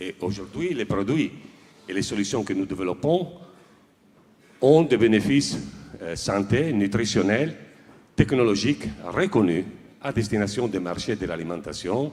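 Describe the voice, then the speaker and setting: A fairly low-pitched man with an Italian accent, lively intonation, a fairly slow pace and long, frequent pauses. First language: Italian (speaking French). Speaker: industrial director accepting an award. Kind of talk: acceptance speech. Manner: formal; hesitant, with fillers.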